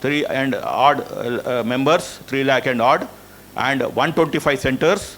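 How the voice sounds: The speaker talks at a fairly slow pace with ordinary pitch variation and a fairly bright tone. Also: man.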